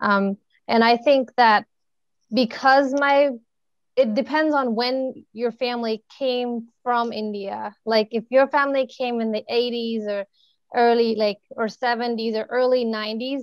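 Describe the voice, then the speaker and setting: A woman with a high voice speaks at a fairly slow pace in an American accent, her intonation fairly even and the sound dry and close with no echo. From United States. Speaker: youth speaker. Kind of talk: video call discussion. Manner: halting.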